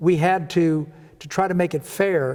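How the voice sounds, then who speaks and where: A man at a high pitch with a Midwestern American accent and a dark, mellow tone. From Kansas City, Kansas. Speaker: retired state legislator. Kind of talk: interview answer. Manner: enthusiastic.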